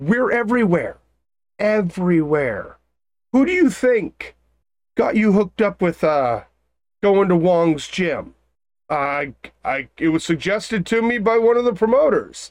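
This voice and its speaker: A put-on character voice speaks at a fairly high pitch and a moderate pace. Long pauses come often, against a quiet background. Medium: actual play. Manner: exasperated, lecturing.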